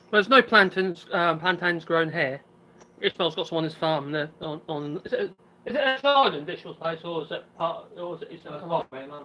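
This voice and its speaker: Mumbling at a fairly quick pace, the speaker has a slight Norfolk accent. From England, Norfolk. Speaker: island resident on a live stream. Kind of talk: casual chat.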